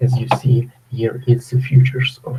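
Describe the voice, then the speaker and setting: Speaking at a fairly slow pace, a man with a Ukrainian accent has a medium pitch and a dark, mellow, somewhat breathy tone. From Ukraine. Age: 30s. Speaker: trader. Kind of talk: live webinar Q&A. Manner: halting.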